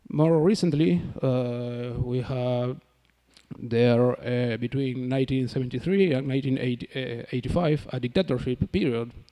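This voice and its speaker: A man with a non-native accent speaks at a moderate pace. His pitch is medium, with ordinary variation. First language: Spanish. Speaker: academic researcher. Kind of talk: conference presentation. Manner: halting, many fillers.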